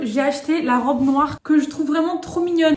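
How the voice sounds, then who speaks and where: Noticeable background noise sits behind a woman speaking at a fairly quick pace. Her intonation is fairly even. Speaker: lifestyle vlogger. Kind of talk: casual vlog talk to camera. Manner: fast; hesitant, many fillers.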